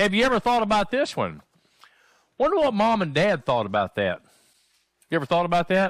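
The recording of this man is dry with no echo and has a quiet background. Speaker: pastor. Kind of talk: sermon. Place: church.

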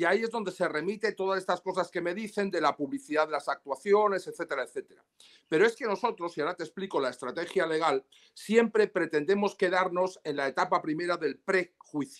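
A man talks at a fairly quick pace, his pitch high for a man with ordinary variation. The background is quiet. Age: 60s. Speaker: lawyer. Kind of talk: interview. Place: home room. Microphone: video call.

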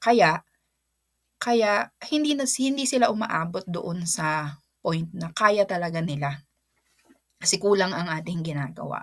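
This woman's voice sits fairly low in pitch. She talks at a fairly slow pace. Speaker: teacher and vlogger. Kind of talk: casual vlog talk. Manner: halting, with fillers and repeats.

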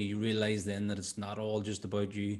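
A man with an Irish accent, fairly low pitch, fairly quick delivery, and a quiet background. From Ireland. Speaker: podcast host and coach; podcast host, coach. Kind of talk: casual interview chat. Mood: reflective, warm. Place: studio. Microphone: studio mic.

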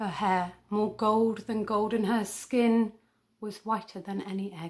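A woman speaks at a fairly slow pace with a fairly high pitch. The background is quiet. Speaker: academic poetry reader. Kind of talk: poetry reading. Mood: gentle, wistful, expressive. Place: home room. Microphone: phone near.

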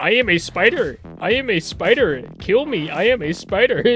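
Over faint music in the background, a man does a put-on character voice that is strained, croaky and high-pitched, at a moderate pace. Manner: repetitive, pleading, eerie.

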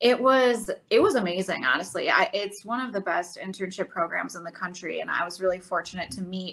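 A woman with an American accent speaks at a fairly quick pace with hardly any pauses, big swings in loudness and ordinary pitch variation. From US Midwest. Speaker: sports reporter. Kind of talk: interview. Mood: friendly, upbeat. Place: home room. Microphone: video call.

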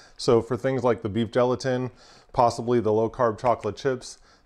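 The pace is fairly quick. A man does the talking. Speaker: presenter. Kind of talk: tutorial. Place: kitchen. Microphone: lapel.

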